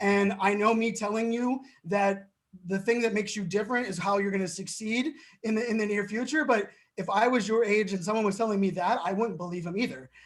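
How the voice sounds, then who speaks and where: An animated man at a very fast pace, high in pitch with ordinary pitch variation. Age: 40s. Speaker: keynote speaker. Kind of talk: interview.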